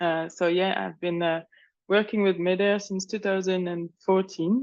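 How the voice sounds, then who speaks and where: The speaker has a French accent. The delivery is fairly slow. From France. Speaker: humanitarian water and sanitation program manager. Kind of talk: webinar talk. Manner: halting.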